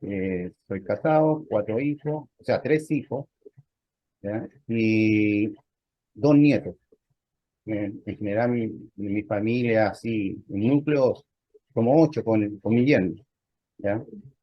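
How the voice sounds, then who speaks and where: A man at medium pitch, very slow pace, long, frequent pauses and ordinary pitch variation. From Chile. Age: 60s. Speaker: lay church member, navy veteran. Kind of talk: interview testimony. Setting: video call. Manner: halting, with many fillers.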